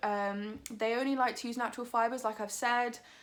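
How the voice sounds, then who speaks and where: On a very clean recording with a silent background, a woman with a British accent speaks at a moderate pace with ordinary pitch variation. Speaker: vegan lifestyle vlogger. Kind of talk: product review. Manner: casual, filler-heavy.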